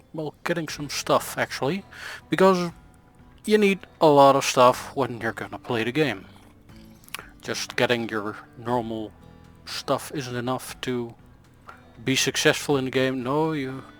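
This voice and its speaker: Music runs behind a man speaking at a fairly slow pace and medium pitch. He leaves long, frequent pauses. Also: ordinary pitch variation. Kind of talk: gameplay commentary. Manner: rambling, hesitant.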